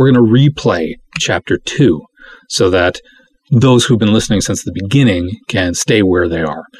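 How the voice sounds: Heard against a quiet background, the speaker uses a natural reading voice.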